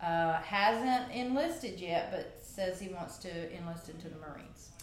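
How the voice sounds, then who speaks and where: At a fairly slow pace, the voice shows big swings in loudness, with audible room echo and noticeable background noise. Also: woman. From Louisiana, Cajun Country. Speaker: gym member, athlete of the month. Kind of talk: casual interview. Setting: studio.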